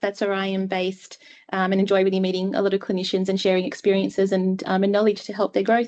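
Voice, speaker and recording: A woman with an Australian accent speaks at a medium pitch in a monotone, flat intonation. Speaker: clinician, guest speaker. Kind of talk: webinar presentation.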